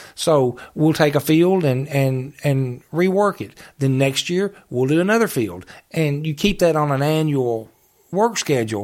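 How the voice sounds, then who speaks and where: On a very clean recording with a silent background, a man with an unremarkable speaking voice talks fairly slowly at a fairly high pitch with lively intonation. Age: 50s. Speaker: retired judge and park superintendent. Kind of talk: casual interview.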